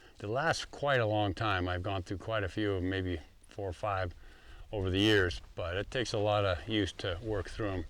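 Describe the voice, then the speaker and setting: A man with a fairly low pitch and ordinary pitch variation talks at a moderate pace in an ordinary speaking voice on a very clean recording with a silent background. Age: 60s. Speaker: concrete contractor and course teacher. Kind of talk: tutorial. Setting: outdoors. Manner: casual, with fillers.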